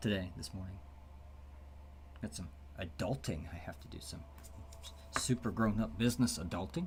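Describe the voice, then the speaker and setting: A soft-spoken man talks at a moderate pace, somewhat breathy, with ordinary pitch variation. Room echo is audible. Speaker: game developer streamer. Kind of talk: casual livestream commentary. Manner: soft-spoken, quiet.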